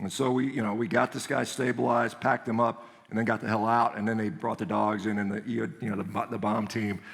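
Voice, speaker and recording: A man with an American accent talks in an animated tone, barely pausing. Noticeable background noise runs under his speech. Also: medium pitch for a man. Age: 50s. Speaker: orthopedic surgeon and speaker. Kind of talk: conference talk.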